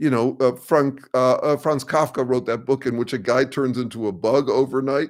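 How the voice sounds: A man speaks at a medium pitch. His intonation is fairly even. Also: moderate pace.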